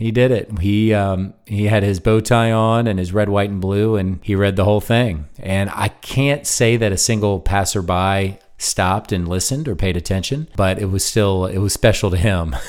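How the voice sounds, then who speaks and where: A man speaks in an ordinary speaking voice with an American accent. His pace is moderate, with ordinary pitch variation and hardly any pauses. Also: fairly low pitch for a man. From US South. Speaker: podcast host. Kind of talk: solo monologue podcast. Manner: conversational.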